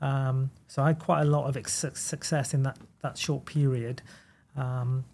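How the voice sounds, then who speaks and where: Speaking in a Welsh accent, a man has a dark, mellow tone that is somewhat breathy, his intonation monotone and flat. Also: very clean recording, silent background. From Wales. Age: 30s. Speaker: goalkeeper coach. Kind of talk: casual chat.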